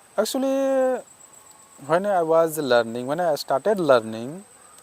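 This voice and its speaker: A man with a high pitch and very wide pitch swings, over noticeable background noise. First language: not English. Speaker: English learner vlogger. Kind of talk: casual talk to camera. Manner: halting.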